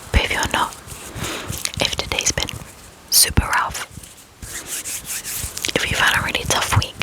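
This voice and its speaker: A woman is whispering, with long, frequent pauses. Noticeable background noise runs underneath. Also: moderate pace. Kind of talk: ASMR trigger words. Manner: whispered.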